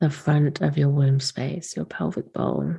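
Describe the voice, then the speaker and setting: A woman speaks in a dark, mellow, soothing tone that is somewhat breathy. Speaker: podcast host, womb-wellness / sacred feminine teacher. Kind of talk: guided womb meditation. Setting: recorded late, not in usual recording space, casual home setup. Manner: slow, soft, soothing, with long pauses.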